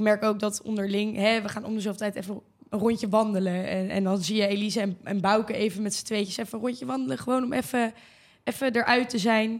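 Her pace is very fast. The woman's pitch sits fairly high, with ordinary pitch variation. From Brabant, Netherlands. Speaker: student association board chair. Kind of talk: casual chat.

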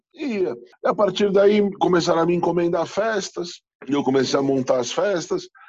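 Here a man talks with a high pitch. His pace is moderate. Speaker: chef and beer specialist. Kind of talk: casual interview.

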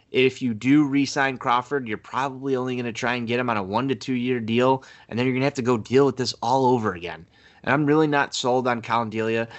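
A man speaks at a very fast pace with an American accent. His medium-pitched voice keeps fairly even intonation. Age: 20s. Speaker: sports podcast co-host. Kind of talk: casual chat.

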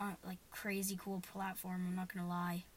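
A woman's somewhat breathy voice moves along at a moderate speed. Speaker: podcast host. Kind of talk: casual chat.

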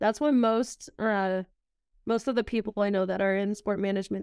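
A woman's ordinary speaking voice at a medium pitch, with fairly even intonation, on a very clean recording with a silent background. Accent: American. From Southern California. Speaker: college soccer goalkeeper. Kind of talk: casual interview.

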